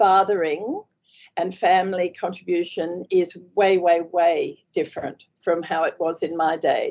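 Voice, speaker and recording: A woman talks in an Australian accent at a medium pitch. Her intonation stays monotone and flat. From Australia, Queensland. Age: 70s. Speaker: author, former station wife and nurse. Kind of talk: interview. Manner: halting, many fillers.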